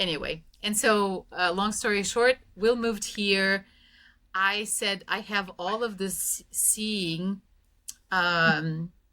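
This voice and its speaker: Recorded very cleanly with a silent background, a woman with a Russian accent speaks at a very slow pace, medium in pitch with fairly even intonation and a bright, sharp tone. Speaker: spiritual teacher and life coach. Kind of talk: podcast interview. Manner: long run-on sentences.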